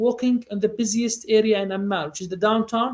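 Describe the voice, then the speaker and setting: With a Jordanian accent, a man speaks at an extremely high pitch, a fairly quick pace and fairly even intonation. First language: Arabic. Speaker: tour guide. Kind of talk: interview answer. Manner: casual, conversational.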